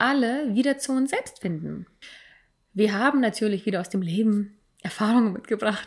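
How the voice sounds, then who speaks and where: Here is a woman at a medium pitch. Her pitch varies in an ordinary way. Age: 30s. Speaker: podcast co-host. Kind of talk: casual chat. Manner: halting, many fillers and repetitions.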